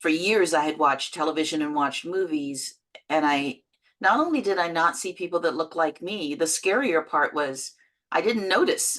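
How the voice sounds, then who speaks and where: A woman with a Canadian accent speaks at a moderate pace in a plain, everyday voice. Her pitch sits fairly low, and the background is quiet. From London, England, then Canada from age 12. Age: 60s. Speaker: actor and producer. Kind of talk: interview.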